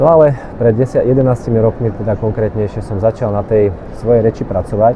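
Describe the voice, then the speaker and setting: Noticeable background noise sits behind a man speaking at a fairly quick pace. His medium-pitched voice has fairly even intonation. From Slovakia. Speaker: speech trainer; real estate agent. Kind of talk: casual vlog talk to camera.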